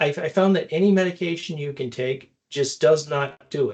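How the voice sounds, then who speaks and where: This man's voice is somewhat breathy. He talks at a moderate pace, and his pitch varies in an ordinary way. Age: 60s. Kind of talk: podcast interview. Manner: repetitive stammering restarts.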